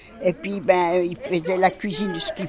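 There is noticeable background noise in this clip. Over it, a woman speaks at a moderate pace. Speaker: care home resident. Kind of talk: interview.

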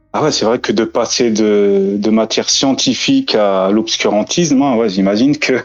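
A man speaks in an unremarkable speaking voice at medium pitch with ordinary pitch variation. His loudness stays very even, with hardly any pauses. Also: moderate pace. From France. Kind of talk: casual chat.

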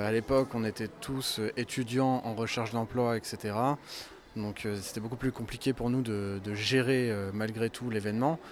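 With monotone, flat intonation, a man speaks at a fairly slow pace in a medium pitch. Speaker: convention organizer, communications officer. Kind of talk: interview answers.

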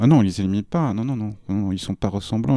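A man with a fairly low pitch and a plain, everyday voice speaks at a fairly quick pace with ordinary pitch variation. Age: 40s. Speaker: publishing worker. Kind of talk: casual chat.

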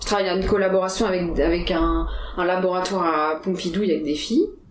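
A woman talks at a fairly quick pace in a medium pitch. The recording has audible room echo and noticeable background noise. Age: 20s. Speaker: biology research engineer. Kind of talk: casual interview. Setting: Paris apartment. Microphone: poor sound quality.

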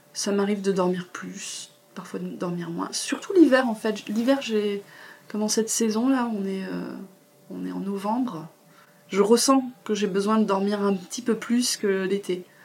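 Amid noticeable background noise, a woman talks with ordinary pitch variation, leaving long, frequent pauses. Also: medium pitch for a woman, fairly slow pace. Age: 40s. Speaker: massage therapist and confidence coach. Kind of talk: interview testimony. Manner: hesitant, many fillers. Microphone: poor sound quality.

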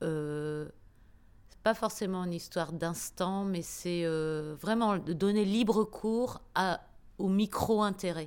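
Recorded very cleanly with a silent background, a woman at medium pitch speaks at a very slow pace with ordinary pitch variation. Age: 50s. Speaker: radio professional. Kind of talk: interview. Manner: halting.

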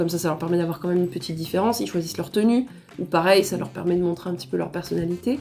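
This woman's voice shows ordinary pitch variation. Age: 20s. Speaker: photographer. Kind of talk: casual chat.

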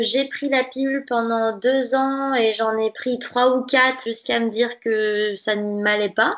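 A woman speaks at a high pitch with fairly even intonation. Her pace is fairly slow. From western France, Nantes. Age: 20s. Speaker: dietitian. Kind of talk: interview conversation.

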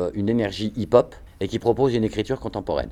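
The tone is dark and mellow, with fairly even intonation. Delivery comes at a very fast pace. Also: man. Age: 50s. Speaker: hip-hop choreographer and dancer. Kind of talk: interview.

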